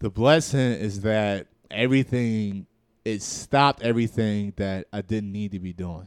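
A man speaks in a normal speaking voice with an American accent, his pitch fairly low and its variation ordinary. He talks at a fairly slow pace, and the sound is dry and close with no echo. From Newark, New Jersey. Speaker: stand-up comedian. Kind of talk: casual chat.

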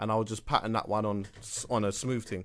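A man talks at a fairly quick pace with an English accent. The background is quiet. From London. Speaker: podcast co-host. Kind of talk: casual chat.

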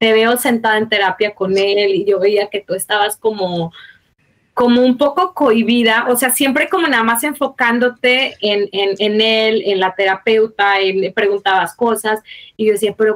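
With a normal speaking voice, a woman talks at a moderate pace in a fairly high pitch with ordinary pitch variation, the sound dry and close with no echo. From Mexico. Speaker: mother of a child with a rare disease. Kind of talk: personal testimony in interview.

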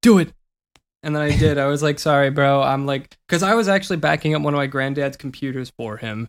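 An ordinary speaking voice, a man's, fairly high-pitched and fairly quick, with ordinary pitch variation, in a very clean recording with a silent background. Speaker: YouTuber and podcast co-host. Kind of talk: casual chat.

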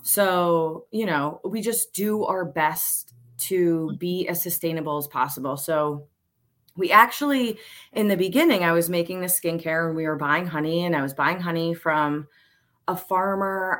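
A woman talks in an ordinary speaking voice at a fairly low pitch, with ordinary pitch variation and a fairly slow pace. The recording is very clean, with a silent background. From Pennsylvania, Montgomery County. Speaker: high school teacher and beekeeper. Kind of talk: casual chat.

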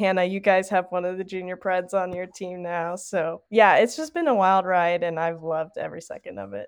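A woman's medium-pitched voice with a Southern US accent and fairly even intonation, against a quiet background. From Tennessee. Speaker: college hockey club president. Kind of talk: casual interview.

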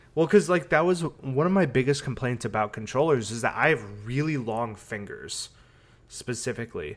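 Using a normal speaking voice, a man of medium pitch talks at a moderate pace with lively intonation. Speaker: video game podcast co-host. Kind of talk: casual chat.

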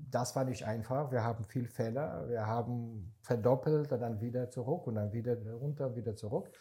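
A man speaks at a moderate pace in a dark, mellow, somewhat breathy tone. He hardly pauses at all. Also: medium pitch for a man, ordinary pitch variation. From Israel. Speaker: startup investor. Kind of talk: casual chat. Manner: halting.

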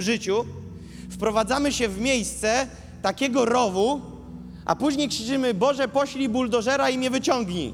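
Over noticeable background noise, a man talks in an animated tone at an extremely high pitch, with ordinary pitch variation. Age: 20s. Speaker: preacher. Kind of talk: sermon.

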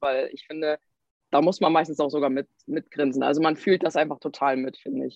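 Her voice is very deep and low for a woman, moving at a moderate pace with fairly even intonation. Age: 20s. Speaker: social media creator. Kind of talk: interview.

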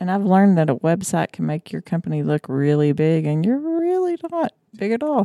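At a moderate pace, a woman with an American accent speaks in a dry, close sound with no echo. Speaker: family member and co-host. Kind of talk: casual family chat. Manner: joking, talkative.

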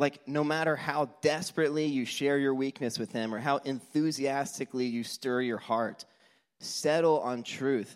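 At a moderate pace, a man with a fairly high pitch speaks in a very clean recording with a silent background. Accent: American. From Texas, Houston. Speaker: church speaker. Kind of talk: sermon. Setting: church stage. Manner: animated.

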